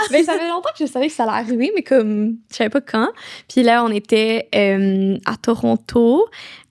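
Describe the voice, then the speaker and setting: Lively intonation marks a woman's voice, heard dry and close with no echo on a very clean recording with a silent background. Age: 20s. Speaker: young entrepreneur. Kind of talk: casual interview chat. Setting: podcast recording. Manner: fast.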